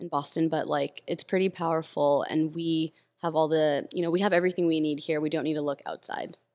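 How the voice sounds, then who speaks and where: A woman's very deep, low voice in a flat monotone, with an American accent. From Los Angeles, US. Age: 30s. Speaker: tech community builder. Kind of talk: casual chat.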